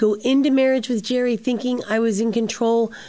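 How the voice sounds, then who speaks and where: A woman's unremarkable speaking voice, fairly high in pitch and fairly quick in pace. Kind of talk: interview.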